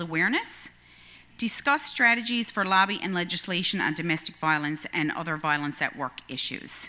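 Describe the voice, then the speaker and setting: A woman with a Newfoundland accent speaks at a fairly quick pace in a bright, sharp tone. Her intonation is lively. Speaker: union educator. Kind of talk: presentation. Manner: fast.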